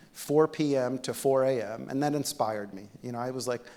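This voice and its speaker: A man talks at a moderate pace. His medium pitch holds a fairly even intonation. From Egypt, then New Jersey from about age ten. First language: Arabic. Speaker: physician-scientist, keynote speaker. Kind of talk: keynote speech. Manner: conversational, with many fillers.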